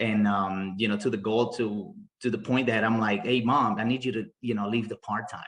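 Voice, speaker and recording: This man talks with a Spanish accent and fairly even intonation. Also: medium pitch for a man, moderate pace. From Bolivia. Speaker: mortgage loan officer. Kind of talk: interview. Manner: halting, many repetitions.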